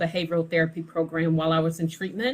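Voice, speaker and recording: The speaker is a woman. A somewhat breathy quality runs through her voice. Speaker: lawyer and firm owner. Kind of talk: live video talk. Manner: slow, emphatic.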